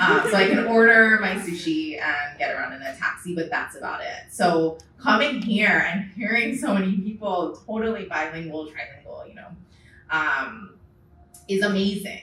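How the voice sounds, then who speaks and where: A woman with a medium-pitched voice speaks at a moderate pace with lively intonation and big swings in loudness. Noticeable background noise and audible room echo are present. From Hawaii. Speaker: auto distribution executive. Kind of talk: panel discussion.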